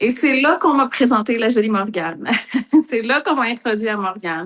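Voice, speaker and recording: A woman's fairly high voice in a Quebec accent, with lively intonation at a moderate pace. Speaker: entrepreneur, coaching client. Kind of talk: testimony.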